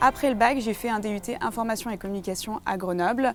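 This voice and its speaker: A woman with fairly even intonation, music in the background. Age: 20s. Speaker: film distribution professional, alumna. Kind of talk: testimonial interview. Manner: hesitant, many repetitions and fillers.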